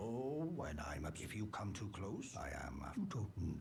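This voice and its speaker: Putting on a character voice, a man with a fairly low pitch speaks at a moderate pace against loud background noise. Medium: video game. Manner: slow, cryptic.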